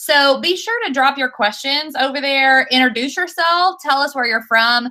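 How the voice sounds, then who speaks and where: A woman speaks in a raised, projected voice with a high pitch and a bright, sharp tone. Her pace is moderate and her pitch varies in an ordinary way. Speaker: instructional technology coordinator hosting education livestream. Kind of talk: livestream show introduction. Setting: video call livestream.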